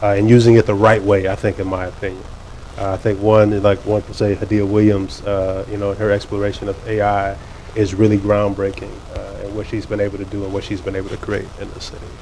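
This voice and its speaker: A man talks at a very fast pace in a fairly low, monotone, flat delivery. Noticeable background noise sits behind him. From Virginia, Fairfax County. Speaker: gallery owner. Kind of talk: panel conversation.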